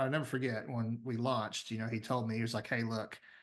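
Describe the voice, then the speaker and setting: In front of a quiet background, a man speaks with a Southern US accent. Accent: Southern US drawl. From US South, Tennessee. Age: 30s. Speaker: business founder and CEO. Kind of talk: podcast interview.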